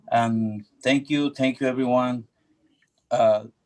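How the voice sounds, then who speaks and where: A man speaks with a Spanish accent at a medium pitch. His pace is fairly slow and his intonation fairly even. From Ecuador. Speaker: public commenter, local business owner. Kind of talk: public comment at community meeting. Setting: video call. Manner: halting.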